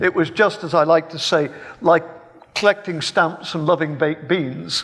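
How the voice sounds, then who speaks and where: A man speaks at a moderate pace with an English accent. His pitch is high, and there is noticeable background noise. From England, Birmingham. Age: 70s. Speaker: philosophy professor. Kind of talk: public debate. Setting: stage with live audience. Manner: halting, repeats words.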